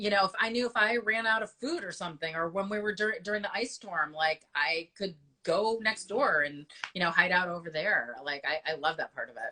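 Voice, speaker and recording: Lively intonation carries a woman's medium-pitched voice with a Chicago accent. She talks at a fairly quick pace. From US Midwest, Chicago. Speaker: business association host interviewing local business owners. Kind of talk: casual interview. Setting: Instagram live video.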